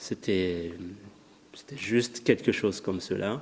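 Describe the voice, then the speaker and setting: A man with a Malagasy accent speaks at a very slow pace with ordinary pitch variation. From Madagascar. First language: Malagasy (speaking French). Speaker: writer. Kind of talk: lecture. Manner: halting.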